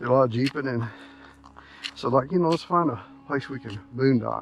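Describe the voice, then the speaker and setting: Music plays in the background as a man speaks at a medium pitch and a fairly quick pace. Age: 60s. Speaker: RV traveler vlogger. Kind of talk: casual vlog narration while hiking. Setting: outdoors on a hike. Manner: casual, halting with fillers.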